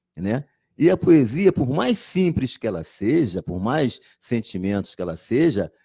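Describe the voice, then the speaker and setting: A man's dark, mellow tone, very wide pitch swings and a fairly slow pace. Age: 60s. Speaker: poet and teacher. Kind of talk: interview. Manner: halting, with frequent repetitions.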